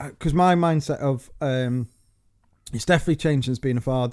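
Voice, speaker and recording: A man with a Staffordshire accent talks at a very fast pace with fairly even intonation. The recording is very clean, with a silent background, and the sound is dry and close with no echo. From England, Staffordshire. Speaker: podcast co-host, father. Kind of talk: casual chat. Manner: halting, many false starts.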